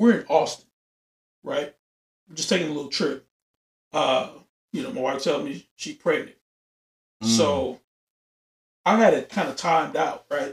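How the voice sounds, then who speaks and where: At a moderate pace, a man talks in a fairly high, somewhat breathy voice with lively intonation. Long, frequent pauses break it up, and his loudness swings widely. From Louisiana. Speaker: podcast host, military veteran. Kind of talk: casual chat.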